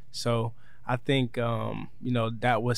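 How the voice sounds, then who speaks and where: A man's medium-pitched voice carries audible echo from the room. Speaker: football player. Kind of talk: interview. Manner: halting, many fillers.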